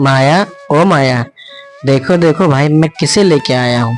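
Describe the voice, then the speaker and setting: A man puts on a character voice at a fairly high pitch and a moderate pace. Faint music plays in the background. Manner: loud, shouting, excited.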